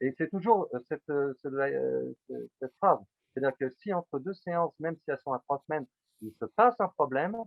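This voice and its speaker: His pitch sits fairly high for a man. The man's intonation moves in a lively way. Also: fairly quick pace. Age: 60s. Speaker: psychotherapist. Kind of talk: interview. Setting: video call. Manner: halting.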